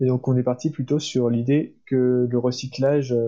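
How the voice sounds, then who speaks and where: Very slowly, a man speaks at a medium pitch with a dark, mellow tone and monotone, flat intonation. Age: 20s. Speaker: engineering student. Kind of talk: casual interview.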